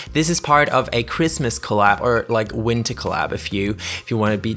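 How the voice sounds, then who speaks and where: Here a man speaks with a non-native accent. His pace is fairly quick. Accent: non-native English speaker. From Germany. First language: German. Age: 20s. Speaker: gaming YouTuber. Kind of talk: gameplay commentary voiceover. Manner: halting, many fillers.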